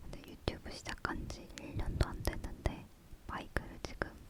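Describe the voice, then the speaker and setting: Whispering, a woman lets her words come out fairly slowly. There is noticeable noise in the background. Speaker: ASMR content creator (YouTuber). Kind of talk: ASMR whisper talk to camera, casual chat about microphones. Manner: soft-spoken, whispering.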